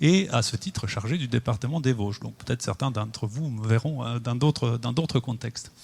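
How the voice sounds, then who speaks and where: The somewhat breathy voice moves at a moderate pace on a very clean recording with a silent background. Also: man. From Italy. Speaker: architect. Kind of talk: public presentation. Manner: halting. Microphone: mic adjusted, sounds better.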